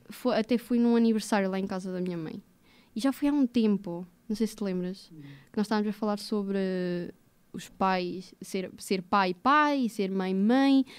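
Speaking at a fairly slow pace, a woman has a medium pitch. Her pitch variation is ordinary. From central Portugal, Águeda; Portugal. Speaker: podcast guest, recent graduate; podcast guest. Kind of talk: casual interview chat. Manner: halting, repetitive. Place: studio. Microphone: studio mic.

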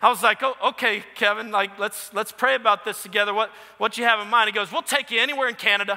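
Against a quiet background, a man with an American accent speaks in a raised, projected voice with ordinary pitch variation. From New Orleans, US. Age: 30s. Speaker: pastor. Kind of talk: sermon. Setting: church. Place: church. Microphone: headset.

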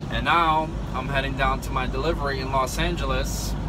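Music in the background accompanies a man who talks at a moderate pace. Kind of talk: casual vlog chat. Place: car. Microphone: phone near.

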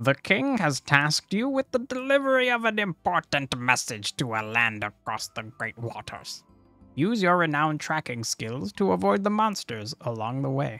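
A man uses a put-on character voice at fairly high pitch, with very wide pitch swings. He keeps a moderate pace over faint music in the background. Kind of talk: fantasy narration. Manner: dramatic, epic.

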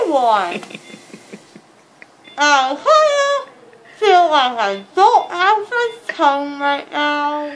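A high-pitched woman mumbling at a very slow pace, with long, frequent pauses and noticeable background noise. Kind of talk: groggy rambling talk. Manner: drowsy mumble through gauze-filled mouth. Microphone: phone near.

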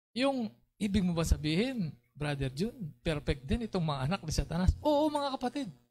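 With very wide swings in pitch, a man talks at a moderate pace. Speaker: preacher. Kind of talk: sermon. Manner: animated.

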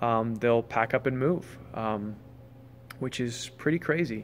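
The man's pitch varies in an ordinary way. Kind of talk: casual vlog chat. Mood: relaxed and upbeat. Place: tent. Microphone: phone near.

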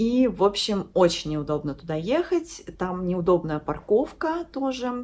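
With very wide pitch swings, a woman speaks at a fairly slow pace. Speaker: lifestyle vlogger. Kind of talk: casual vlog chat. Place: home room. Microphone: phone near.

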